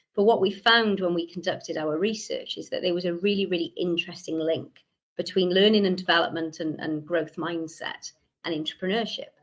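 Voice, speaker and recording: A woman talks at a fairly quick pace with a Welsh accent. Her intonation stays fairly even. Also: medium pitch for a woman. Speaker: researcher presenting a report. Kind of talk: conference presentation.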